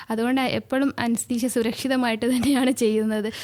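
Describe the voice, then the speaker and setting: A woman speaks in a high voice. Her intonation is monotone and flat. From Lakshadweep. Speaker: anaesthesiologist. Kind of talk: radio interview answer. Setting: studio.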